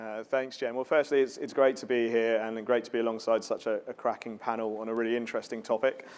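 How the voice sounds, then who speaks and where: A man with a British accent rattles along at a very fast pace with hardly any pauses, his medium-pitched voice flat and monotone. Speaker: marketing executive. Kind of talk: panel discussion.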